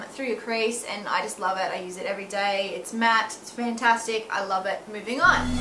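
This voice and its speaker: With an Australian accent, a woman talks with ordinary pitch variation amid noticeable background noise and audible room echo. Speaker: beauty vlogger and makeup artist. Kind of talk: product review vlog. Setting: at home. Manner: animated.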